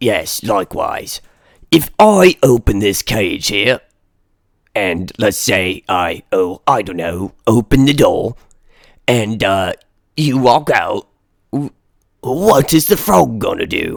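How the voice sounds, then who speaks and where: A man puts on a character voice at a medium pitch, with very wide pitch swings and a fairly slow pace. Long, frequent pauses break it up, and the sound is dry and close with no echo. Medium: actual play. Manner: hesitant, polite.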